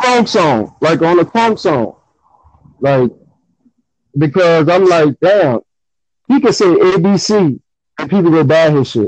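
In a New Orleans accent, a man with a high pitch talks at a fairly slow pace with lively intonation and long, frequent pauses, the sound dry and close with no echo. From New Orleans, Louisiana. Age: 30s. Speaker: guest rap fan. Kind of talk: casual chat about hip hop.

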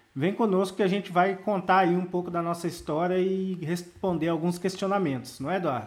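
Here a man talks at a fairly quick pace with hardly any pauses. His voice is high-pitched and his intonation fairly even. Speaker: marketing consultant, podcast co-host. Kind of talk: casual chat.

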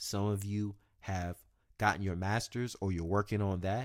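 Recorded very cleanly with a silent background, a man with an unremarkable speaking voice and a fairly low pitch talks at a fairly quick pace. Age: 20s. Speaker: podcast host. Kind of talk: solo podcast monologue. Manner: casual, conversational.

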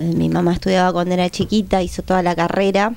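A woman with an ordinary speaking voice talks at a moderate pace, medium pitch and fairly even intonation. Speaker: musician. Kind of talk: casual chat.

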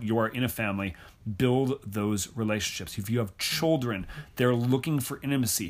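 A man, using a normal speaking voice, talks fairly quickly at a medium pitch, with ordinary pitch variation. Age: 30s. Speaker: author and speaker on theology. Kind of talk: interview.

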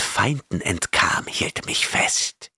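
Soft-spoken and menacing, a man puts on a raspy character voice. His words come out hissing. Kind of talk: fantasy horror audiobook reading. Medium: audio drama. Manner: gloating, menacing, lustful whisper.

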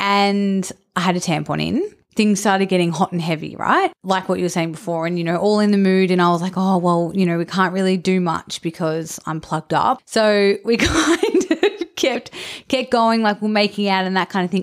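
Very clean, with a silent background, this clip has a woman with a normal speaking voice at a medium pitch. She keeps a moderate pace and ordinary pitch variation. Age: 30s. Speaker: podcast co-host. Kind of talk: casual chat.

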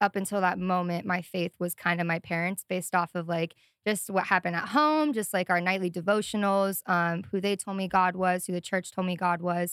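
A woman speaks at a moderate pace with an American accent and fairly even intonation. The sound is dry and close, with no echo. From US Midwest (Sioux Falls, South Dakota). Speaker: ministry student and worship leader. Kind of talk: casual interview. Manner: hesitant, many fillers.

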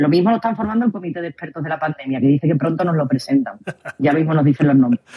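A woman talks at a very fast pace with a very deep, low pitch. The sound is dry and close, with no echo. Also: lively intonation. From Spain. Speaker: co-host. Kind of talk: casual chat. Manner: animated.

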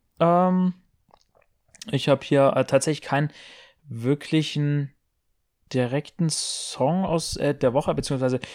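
The audio is a very clean recording with a silent background and a dry, close sound with no echo, and the voice shows ordinary pitch variation. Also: man. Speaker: podcast co-host. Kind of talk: casual chat. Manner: loud.

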